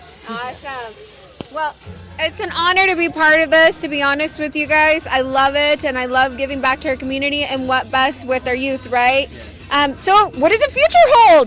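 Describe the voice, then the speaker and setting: A loud woman speaks at a moderate pace with ordinary pitch variation against noticeable background noise. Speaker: event interviewer. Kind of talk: casual interview. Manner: animated.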